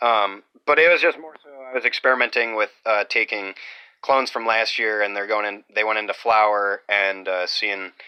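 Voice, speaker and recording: A loud man with a fairly low pitch and ordinary pitch variation. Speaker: off-grid homesteader vlogger. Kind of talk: casual video walkthrough. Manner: halting, many fillers. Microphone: close to the microphone, loud.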